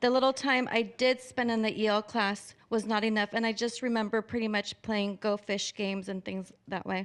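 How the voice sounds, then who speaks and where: Over a silent background in a very clean recording, a woman speaks at a moderate pace with hardly any pauses, her fairly high voice held to fairly even intonation. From Orange, California. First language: Spanish. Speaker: public commenter. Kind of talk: public comment at board meeting.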